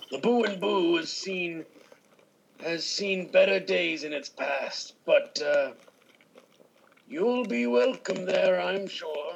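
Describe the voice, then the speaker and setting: In a put-on character voice at a middle pitch, the speaker goes at a very slow pace with long, frequent pauses. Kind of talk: improvised comedy. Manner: grouchy, bickering, cantankerous.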